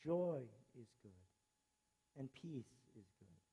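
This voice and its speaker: Somewhat breathy, this man's voice moves through very wide pitch swings. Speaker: teacher. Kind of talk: graduation speech.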